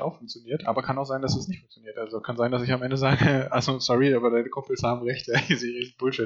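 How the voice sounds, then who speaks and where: The speech moves at a very fast pace in a monotone, flat intonation. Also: man. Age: 30s. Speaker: podcast co-host, science communication student. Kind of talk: casual chat.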